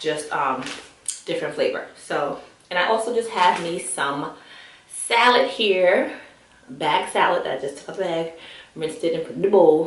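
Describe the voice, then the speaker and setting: Lively intonation comes with big swings in loudness and long, frequent pauses, amid noticeable background noise and audible room echo. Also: woman, fairly low pitch for a woman. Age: 30s. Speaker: vlogger. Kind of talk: casual vlog chat while eating. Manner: fast.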